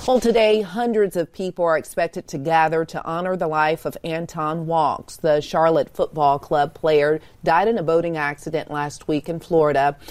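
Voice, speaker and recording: An unremarkable speaking voice from a woman, fairly low-pitched, at a moderate pace with hardly any pauses and ordinary pitch variation. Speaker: news anchor. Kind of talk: news reading.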